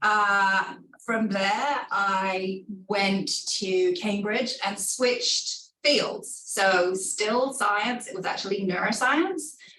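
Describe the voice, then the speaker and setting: A woman with a fairly high pitch and ordinary pitch variation speaks at a very slow pace. Noticeable background noise and audible room echo fill the recording. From England. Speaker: pharmaceutical research executive. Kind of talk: career talk.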